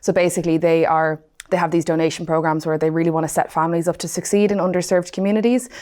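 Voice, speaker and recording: A woman with a Dublin accent speaks very fast in a fairly low voice. Her tone is dark and mellow, and her intonation fairly even. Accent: Dublin Irish. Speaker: client success manager. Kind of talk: podcast interview.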